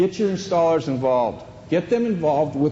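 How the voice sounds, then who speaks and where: Loud and at a moderate pace, a man's voice swings very widely in pitch over noticeable background noise. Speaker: flooring installation trainer. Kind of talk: training seminar. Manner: animated.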